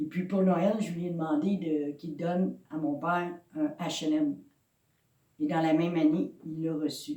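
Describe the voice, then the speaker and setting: This woman's voice is very deep and low, with a dark, mellow tone, ordinary pitch variation and a fairly slow pace. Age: 60s. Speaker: pastor. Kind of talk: sermon. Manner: halting.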